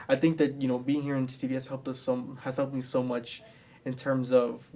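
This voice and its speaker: A man talks very fast at a medium pitch, his intonation monotone and flat. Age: 20s. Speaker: student TV producer. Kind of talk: interview.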